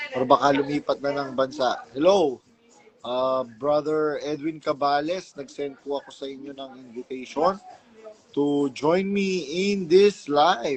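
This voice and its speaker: Amid noticeable background noise, a man with a fairly high pitch talks at a fairly slow pace, with ordinary pitch variation and big swings in loudness. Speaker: livestream host. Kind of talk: casual livestream chat. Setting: live stream.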